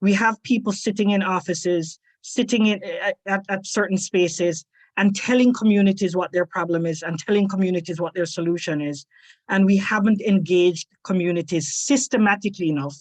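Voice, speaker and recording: The speech moves at a fairly quick pace, somewhat breathy, in a dry, close sound with no echo. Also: woman, medium pitch for a woman, ordinary pitch variation. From Jamaica. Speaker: researcher fellow, former lecturer. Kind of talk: panel discussion. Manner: repeats words, halting starts.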